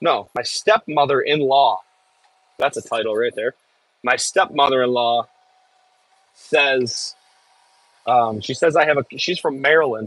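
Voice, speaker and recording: A man with a Midwestern accent and a fairly high pitch, fairly slow with long, frequent pauses, ordinary pitch variation, and a dry, close sound with no echo. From US Midwest, Michigan. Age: 30s. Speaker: excavator operator streamer. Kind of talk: casual live stream chat.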